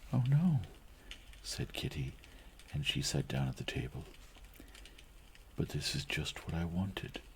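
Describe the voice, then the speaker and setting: A soft-spoken man with a very deep, low pitch talks at a fairly slow pace, his pitch swinging very widely over noticeable background noise. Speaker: ASMR reader / streamer. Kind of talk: audiobook-style reading of a classic novel (ASMR reading). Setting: recorded from a live stream.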